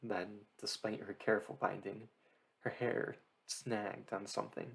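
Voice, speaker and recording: Here a soft-spoken man talks at a fairly low pitch. His pace is moderate. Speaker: audiobook reader. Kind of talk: reading aloud. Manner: slurring.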